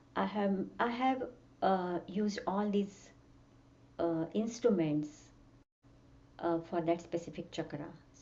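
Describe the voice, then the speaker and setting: Speaking very slowly with long, frequent pauses, a woman uses a fairly low voice with ordinary pitch variation amid audible room echo. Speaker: music teacher and sound healer. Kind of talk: workshop lecture. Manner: halting.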